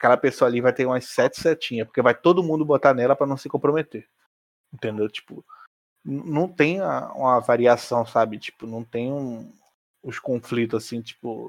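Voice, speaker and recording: Speaking at a moderate pace with a Rio de Janeiro accent, a man has a medium pitch with ordinary pitch variation, big swings in loudness, and a dry, close sound with no echo. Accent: Carioca Brazilian Portuguese. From Rio de Janeiro, Brazil. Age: 20s. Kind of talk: casual chat.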